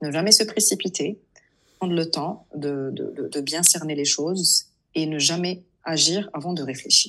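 Here a woman talks at a fairly slow pace. Her pitch is fairly low, with ordinary variation. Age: 30s. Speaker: food content creator. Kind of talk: casual interview chat. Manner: halting, many repetitions.

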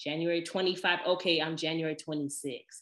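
At a fairly slow pace, a woman speaks with a fairly low pitch. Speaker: podcast host. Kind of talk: casual solo monologue. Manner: chatty, personal, animated.

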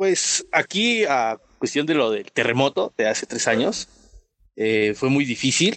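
The speaker uses an ordinary speaking voice at a fairly slow pace. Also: man. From Mexico City. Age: young. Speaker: youth community member. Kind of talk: panel discussion. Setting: video call.

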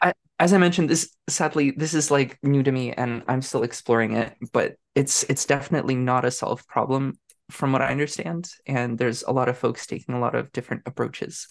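The speech comes at a fairly quick pace in a Canadian accent. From Canada. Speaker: software developer. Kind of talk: casual interview. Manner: hesitant with fillers.

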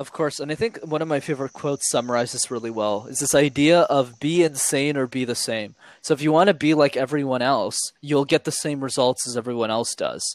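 Recorded with a dry, close sound and no echo, a man with a Montreal accent speaks fairly quickly in a fairly high pitch with ordinary pitch variation. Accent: Canadian English, Montreal. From Montreal, Canada. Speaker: YouTube creator and public speaking coach. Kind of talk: interview conversation.

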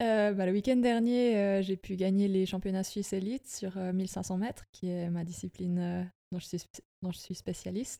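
With a dark, mellow tone and medium pitch, a woman speaks at a moderate pace and fairly even intonation in a dry, close recording with no echo. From Switzerland, Bernese Jura. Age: 20s. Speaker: athlete and university student. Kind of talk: interview.

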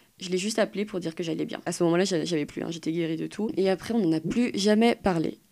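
A woman talks at a very fast pace with hardly any pauses. Her fairly low voice has a dark, mellow tone, vocal fry and ordinary pitch variation. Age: 20s. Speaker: young woman sharing personal story. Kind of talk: personal testimony.

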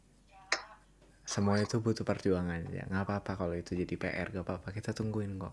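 Talking at a very fast pace, a man keeps his pitch fairly low. His loudness swings widely. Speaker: podcast host. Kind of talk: casual chat. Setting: video call. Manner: animated.

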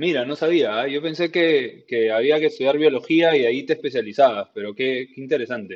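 A man speaks at a fairly quick pace in a Peruvian accent. His pitch sits fairly high. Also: ordinary pitch variation. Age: 30s. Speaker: podcast host and homebrewer. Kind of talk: casual interview.

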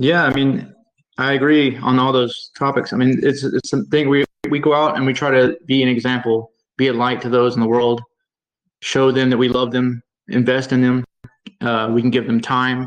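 In a monotone, flat intonation, the man keeps to a medium pitch. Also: moderate pace. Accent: Southern US. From Mississippi, US South. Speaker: online bible group leader. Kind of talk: casual religious discussion. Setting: video call.

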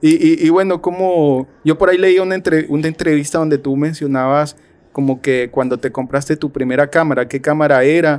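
A man with a fairly high pitch speaks at a moderate pace in an ordinary speaking voice. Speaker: podcast host. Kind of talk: interview.

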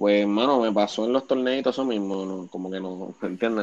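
A man's fairly low voice holds a fairly even intonation. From Puerto Rico (Bayamón). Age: 20s. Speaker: basketball coach. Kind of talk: casual chat.

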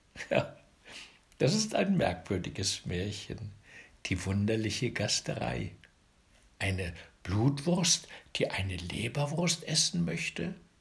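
A man with a warm, gentle, somewhat breathy tone speaks at a very slow pace and a fairly low pitch, with very wide pitch swings and long, frequent pauses. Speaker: fairy tale narrator. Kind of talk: bedtime story telling, fairy tale read aloud. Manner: warm, gentle, slow and coaxing, with lively storyteller inflection; directly addresses children, playful.

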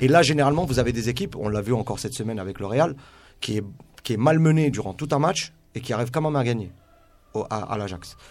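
A man with a medium pitch talks at a very fast pace with lively intonation. He leaves long, frequent pauses. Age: 30s. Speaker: youth football coach and scout. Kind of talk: radio sports debate.

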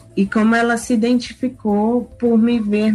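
With music behind her, a woman talks at a very slow pace. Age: 30s. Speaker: university professor. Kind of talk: interview. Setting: at home, remote recording.

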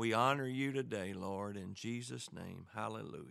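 Fairly slow speech from a man in a Southern US accent, medium pitch with ordinary pitch variation. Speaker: radio ministry host. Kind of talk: radio show intro and prayer.

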